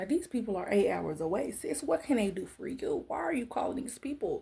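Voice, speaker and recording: A somewhat breathy voice with a dark, mellow tone at a moderate pace. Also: woman. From Arkansas, US South. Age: 30s. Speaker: lifestyle and faith vlogger. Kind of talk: personal testimony vlog. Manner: casual, animated.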